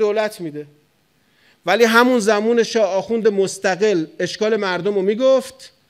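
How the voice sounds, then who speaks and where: Over a quiet background, a man talks in an animated tone at a high pitch, with ordinary pitch variation. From Iran, Tehran. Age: 40s. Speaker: cleric; cleric lecturer. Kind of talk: sermon. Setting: mosque pulpit with audience. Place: hall. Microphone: studio mic.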